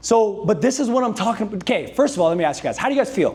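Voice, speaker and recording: Loud and at a very fast pace, a man speaks with a high pitch. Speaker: sales coach. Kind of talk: motivational talk to a live audience. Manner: high-energy.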